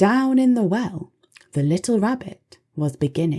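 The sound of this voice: A quiet background behind an unforced reading voice full of lively intonation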